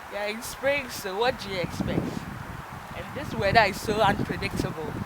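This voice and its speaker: A woman talks at a moderate pace with ordinary pitch variation and big swings in loudness. Noticeable background noise and audible room echo surround her. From Africa. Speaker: vlogger. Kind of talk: vlog. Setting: outdoors. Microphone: no microphone, voice low.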